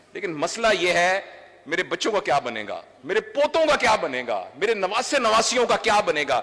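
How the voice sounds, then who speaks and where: A man's raised, projected voice carries through noticeable background noise. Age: 60s. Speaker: doctor and trainer. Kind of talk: public speech. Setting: stage with audience.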